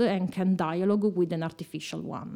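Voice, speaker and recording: This woman has a dark, mellow tone. She speaks with an Italian accent. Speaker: bioengineering professor. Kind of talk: interview. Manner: halting.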